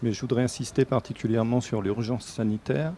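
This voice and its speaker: A plain, everyday voice from a man of medium pitch, at a fairly quick pace with ordinary pitch variation. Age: 60s. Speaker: political candidate, retired nurse. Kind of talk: interview.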